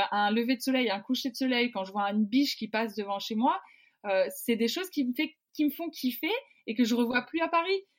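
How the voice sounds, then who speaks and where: A woman speaks in a high pitch. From Brittany, Côtes d'Armor. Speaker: professional rugby player. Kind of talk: interview.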